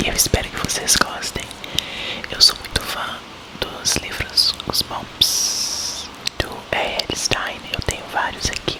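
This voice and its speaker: A man whispers at a very slow pace with long, frequent pauses. Noticeable background noise is present. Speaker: ASMR content creator. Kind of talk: casual chatty intro and comments to the audience between reading. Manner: whispered, soft, slow.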